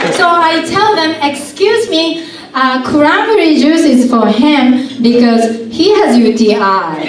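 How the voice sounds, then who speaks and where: With a Japanese accent, a woman talks very slowly in a high pitch with very wide swings, amid audible room echo and light background noise. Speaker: stand-up comedian. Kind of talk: stand-up comedy set. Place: stage.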